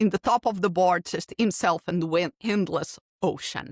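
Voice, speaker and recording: A woman's fairly low voice at a moderate pace, dry and close with no echo, in a very clean recording with a silent background. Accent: Portuguese. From Portugal. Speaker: keynote speaker and podcast host. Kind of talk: interview.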